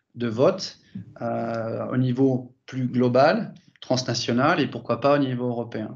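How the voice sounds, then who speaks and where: A man speaks at a very slow pace. His pitch sits at a medium level. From France. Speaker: sales director at an online voting company. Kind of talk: interview. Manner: halting, many repetitions and fillers.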